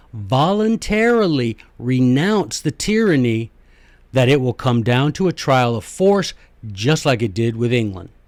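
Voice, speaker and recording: On a very clean recording with a silent background, a man with an American accent speaks fairly slowly in an animated tone, with very wide pitch swings. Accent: southern US, comes out when speaking slowly. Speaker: history and constitution podcast host. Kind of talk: podcast monologue lecture.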